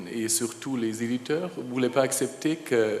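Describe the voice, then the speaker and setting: Over noticeable background noise, a man with a non-native accent speaks at a very slow pace with fairly even intonation. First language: German (speaking French). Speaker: publishers' association representative, panelist. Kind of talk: panel discussion. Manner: halting.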